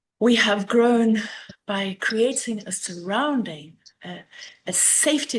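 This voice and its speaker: Speaking fairly slowly with a South African accent, a woman uses ordinary pitch variation. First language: Afrikaans. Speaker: master gardener. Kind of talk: illustrated talk. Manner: hesitant, with fillers.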